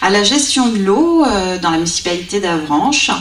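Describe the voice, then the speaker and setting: With lively intonation at a moderate pace, a woman of medium pitch is heard amid audible room echo and noticeable background noise. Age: 30s. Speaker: special education teacher, local election candidate. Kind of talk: public meeting self-introduction. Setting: public meeting.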